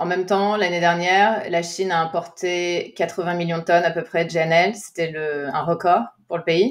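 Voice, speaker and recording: Her pitch is fairly low, and her intonation fairly even. The woman keeps a moderate pace. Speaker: podcast host, energy analyst. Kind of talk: interview conversation. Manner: frequent hesitations.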